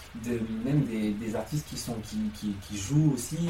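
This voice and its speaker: A man speaks over noticeable background noise. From Lyon, France. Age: 20s. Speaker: musical theatre performer. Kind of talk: interview.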